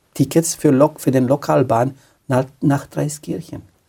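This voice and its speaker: A somewhat breathy man with a dark, mellow tone, in a Romanian accent. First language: Romanian (speaking German). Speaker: pastor. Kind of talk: testimony. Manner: halting.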